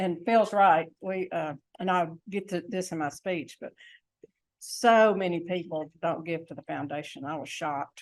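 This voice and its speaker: A woman's fairly low voice in a Southern US accent, at a fairly slow pace with ordinary pitch variation and big swings in loudness, on a very clean recording with a silent background. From US South, Tennessee. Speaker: club district leader, speaker. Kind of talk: speech to club meeting. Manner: quiet.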